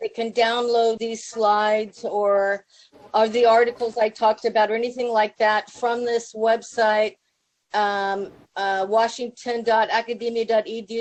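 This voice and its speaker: The speaker has an American accent and talks at a fairly slow pace in a monotone, flat intonation. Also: woman. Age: 60s. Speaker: public health professor. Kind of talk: conference talk. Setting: video call to a conference room. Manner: casual, with many fillers.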